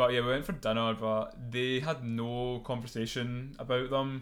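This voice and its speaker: A man talks at a medium pitch. The room gives off an audible echo. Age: 20s. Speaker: podcast co-host. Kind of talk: casual chat.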